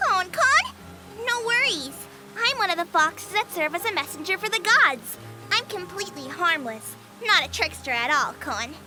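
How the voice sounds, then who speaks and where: This female-sounding, put-on character voice is pitched extremely high, with very wide pitch swings. It moves at a moderate pace over clear background noise. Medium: game stream. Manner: sweet, cheerful, ends lines with "kon".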